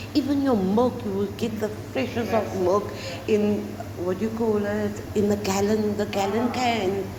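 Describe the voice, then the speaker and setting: With audible room echo and noticeable background noise, a woman talks at a fairly slow pace. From South Africa, Cape Town (District Six). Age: 60s. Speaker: volunteer at an elder care organization. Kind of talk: interview. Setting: cafe. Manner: animated.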